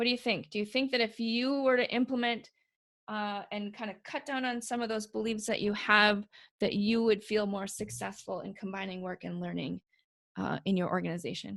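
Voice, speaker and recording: A woman speaks at a moderate pace with medium pitch and ordinary pitch variation. Hers is an ordinary speaking voice. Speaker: webinar presenter. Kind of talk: webinar presentation. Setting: online call.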